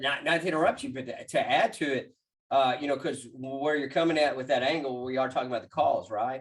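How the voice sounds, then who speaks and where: A man with a plain, everyday voice talks at a fairly quick pace in a medium pitch. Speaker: sales training consultant. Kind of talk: panel discussion.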